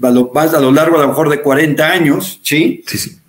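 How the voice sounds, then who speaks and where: At a moderate pace, a man speaks with fairly even intonation. His pitch is fairly high. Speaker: show host and care company director. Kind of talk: interview. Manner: halting.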